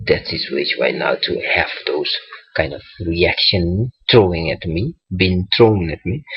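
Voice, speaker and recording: Music plays in the background as a man speaks in a very deep, low voice. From Bonaire. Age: 30s. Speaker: vlogger. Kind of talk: casual vlog monologue. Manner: hesitant, many fillers.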